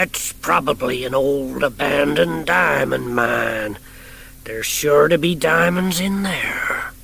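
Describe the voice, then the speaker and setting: Using a raspy, put-on character voice, a man speaks at a medium pitch and a fairly slow pace with clear background noise. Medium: read story. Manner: folksy, drawling.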